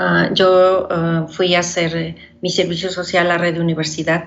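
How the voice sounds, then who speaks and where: A woman's fairly low voice with monotone, flat intonation at a moderate pace, plus audible room echo and noticeable background noise. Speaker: poet and short story writer. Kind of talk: interview. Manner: halting, with fillers.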